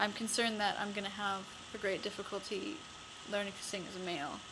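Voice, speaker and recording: There is noticeable background noise and audible room echo as a woman speaks at medium pitch with fairly even intonation. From Canada, Winnipeg. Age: 20s. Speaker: vlogger. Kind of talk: personal vlog. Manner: halting.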